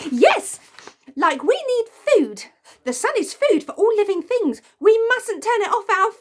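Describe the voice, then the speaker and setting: A woman puts on a squeaky character voice at an extremely high pitch. She delivers it at a fairly slow pace. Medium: read story. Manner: excitable.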